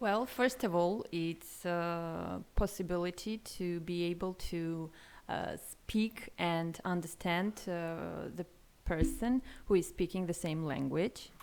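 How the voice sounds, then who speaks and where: In an Armenian accent, a woman speaks at a very slow pace and a fairly low pitch, with ordinary pitch variation. The recording is very clean, with a silent background. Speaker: language learner. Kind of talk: interview. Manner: halting.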